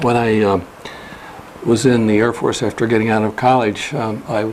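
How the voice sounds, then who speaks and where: A man with an American accent talks at a fairly quick pace in a medium pitch, his intonation fairly even, with noticeable background noise behind him. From upstate New York (Schenectady). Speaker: retired probate judge, ethics board member. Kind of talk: interview.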